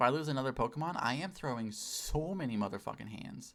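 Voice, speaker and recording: Lively in intonation and very fast, a man speaks at medium pitch with vocal fry. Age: 20s. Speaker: streamer. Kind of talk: casual, profane.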